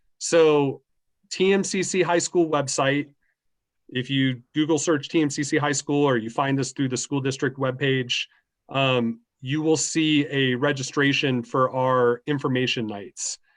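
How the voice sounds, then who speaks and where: A man with an ordinary speaking voice, fairly high pitch for a man, fairly even intonation, and fairly slow pace against a quiet background. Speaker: school staff presenter. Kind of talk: information session Q&A. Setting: video call.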